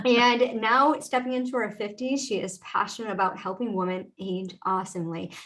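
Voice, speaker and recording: Moderate pace, hardly any pauses and ordinary pitch variation, with noticeable background noise. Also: woman, fairly high pitch for a woman. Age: 50s. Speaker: podcast host and mindset coach. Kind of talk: podcast interview. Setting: live video stream.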